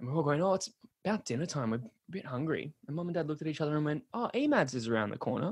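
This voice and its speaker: Very fast and somewhat breathy, a man speaks at a fairly high pitch with lively intonation. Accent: Australian. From Sydney, Australia. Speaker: podcast guest. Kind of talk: casual interview chat. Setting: video call.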